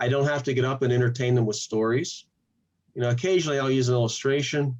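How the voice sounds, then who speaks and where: A man at a medium pitch speaks in an unremarkable speaking voice. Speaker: pastor and channel host. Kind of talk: interview.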